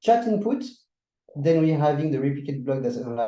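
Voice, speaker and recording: Audible room echo surrounds a man speaking with a French accent. His pitch is fairly high, his tone dark and mellow, and his intonation lively. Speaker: workshop presenter. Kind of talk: tutorial.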